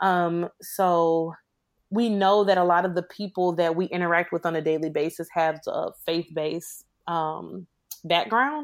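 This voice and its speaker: In a very clean recording with a silent background, a woman with an American accent uses an unremarkable speaking voice, fairly low-pitched, at a fairly slow pace with fairly even intonation. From Chicago. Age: 20s. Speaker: IT worker and single mother. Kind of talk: podcast interview about personal testimony.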